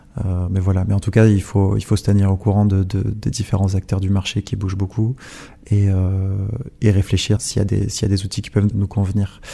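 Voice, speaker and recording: Somewhat breathy and fairly low in pitch, a man speaks at a moderate pace in a dark, mellow tone with monotone, flat intonation. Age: 20s. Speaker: lawyer. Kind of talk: interview. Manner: halting.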